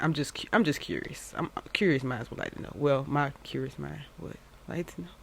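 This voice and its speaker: An animated woman's voice with vocal fry, in an American accent. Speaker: YouTube commentary host. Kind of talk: casual chat to viewers.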